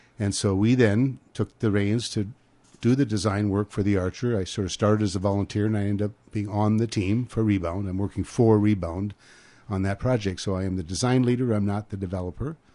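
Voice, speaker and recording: Fairly quick, fairly even speech from a man with a fairly low pitch and a dark, mellow tone. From North Dakota. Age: 70s. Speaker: real estate developer. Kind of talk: radio interview. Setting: studio.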